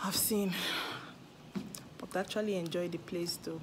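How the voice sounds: This woman's voice carries audible echo from the room.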